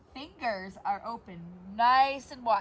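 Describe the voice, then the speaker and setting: There is noticeable background noise as a woman speaks at a very slow pace. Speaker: yoga teacher. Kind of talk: guided yoga class. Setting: outdoors in her yard. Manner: loud. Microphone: no microphone, volume poor.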